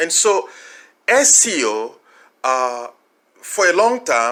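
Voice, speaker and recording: A man with a Congolese accent speaks at a very slow pace in a high pitch. His bright, sharp tone has very wide pitch swings. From DR Congo. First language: French. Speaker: marketing consultant. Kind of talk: tutorial. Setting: recorded audio call.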